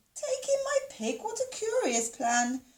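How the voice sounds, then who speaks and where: Squeaky and extremely high, a woman's put-on character voice moves at a fairly slow pace. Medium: read story.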